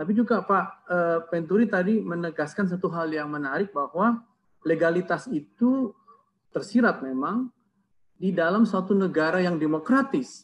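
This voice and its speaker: The pace is moderate. Pitch variation is ordinary. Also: man, high pitch for a man. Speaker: seminary lecturer. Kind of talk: academic commentary. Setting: video call. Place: home room. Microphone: earbuds.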